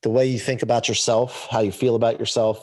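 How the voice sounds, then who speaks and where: A man speaks at a moderate pace in a very clean recording with a silent background. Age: 40s. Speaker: performance coach and motivational speaker. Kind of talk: interview. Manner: animated.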